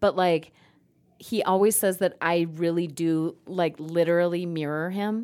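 A woman with a fairly low pitch uses an unremarkable speaking voice, moving fairly slowly with fairly even intonation on a very clean recording with a silent background. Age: middle-aged. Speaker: podcast co-host. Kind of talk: casual chat.

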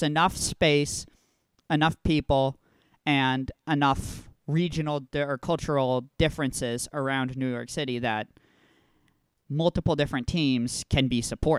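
In an ordinary speaking voice, a man with an American accent talks at a fairly slow pace and fairly high pitch with fairly even intonation, on a very clean recording with a silent background and a dry, close sound with no echo. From Texas. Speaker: soccer podcast host. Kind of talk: casual chat.

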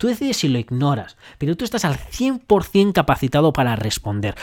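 Over a silent background in a very clean recording, a man with a fairly high pitch talks at a moderate pace in an animated tone with very wide pitch swings. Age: 30s. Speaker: self-development podcaster. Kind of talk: motivational monologue.

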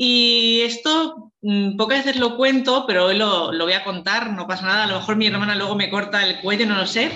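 Recorded with audible room echo, a woman talks at a moderate pace in a fairly high voice with ordinary pitch variation. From Spain, Valencia. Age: 30s. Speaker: fertility patient sharing her story. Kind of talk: testimony.

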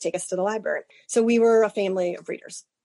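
A woman with an American accent speaks at a fairly quick pace. Her medium-pitched voice has a dark, mellow tone, recorded dry and close with no echo. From Cleveland, Ohio. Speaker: bookstore owner. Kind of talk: interview.

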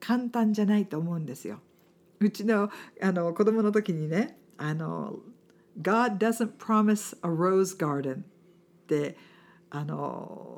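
With a non-native accent, a woman speaks very slowly at a medium pitch, using ordinary pitch variation and big swings in loudness, on a very clean recording with a silent background. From outside Japan. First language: not Japanese (speaking Japanese). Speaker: businesswoman and podcast host. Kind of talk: interview chat.

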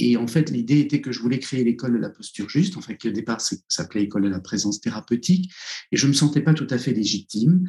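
This man has a medium pitch and a dark, mellow tone that is somewhat breathy. He talks at a very fast pace with lively intonation. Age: 60s. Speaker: psychotherapist and author. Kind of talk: interview. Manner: halting.

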